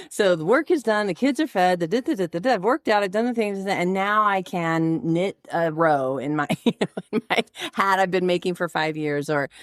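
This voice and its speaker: A woman speaks in a normal speaking voice at a moderate pace, her medium pitch carried by lively intonation, on a very clean recording with a silent background and a dry, close sound with no echo. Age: 50s. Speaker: podcast host. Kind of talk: casual interview chat.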